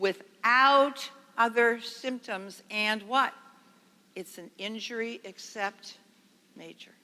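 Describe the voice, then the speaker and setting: Bright, sharp tone from a woman, pitch varying in an ordinary way. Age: 70s. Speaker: nurse consultant, conference speaker. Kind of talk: lecture. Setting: stage with audience. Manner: animated.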